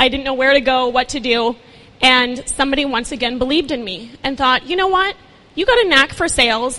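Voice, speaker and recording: Over noticeable background noise, a woman with an American accent speaks in a raised, projected voice at a fairly quick pace, her pitch high with ordinary variation. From Minnesota. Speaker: talent agency founder. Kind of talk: inspirational talk. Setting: stage with audience.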